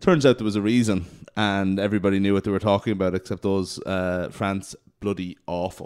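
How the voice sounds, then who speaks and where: In an Irish accent, the speaker delivers lines at a fairly quick pace with monotone, flat intonation. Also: man, fairly low pitch for a man. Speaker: rugby podcast host. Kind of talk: casual chat.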